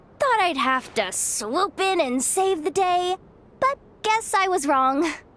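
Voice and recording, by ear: A woman puts on a character voice, pitched extremely high with a fairly bright tone. She talks at a slow pace with lively intonation.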